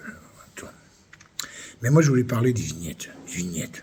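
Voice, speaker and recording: This man's intonation is lively. He talks in an animated tone. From France, Limoges. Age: 60s. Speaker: vlogger. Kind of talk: angry rant monologue.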